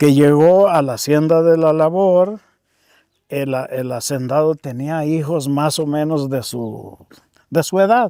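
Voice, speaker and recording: The man's voice sits at a fairly high pitch with ordinary pitch variation. He talks at a very slow pace. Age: old. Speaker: elderly villager telling local history. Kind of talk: oral history interview.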